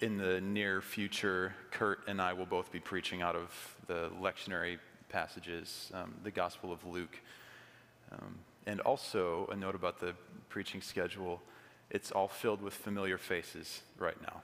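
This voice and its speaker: The speaker is a man with a very deep, low pitch. His intonation is monotone and flat. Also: moderate pace. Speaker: pastor. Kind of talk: sermon. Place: church. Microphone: podium.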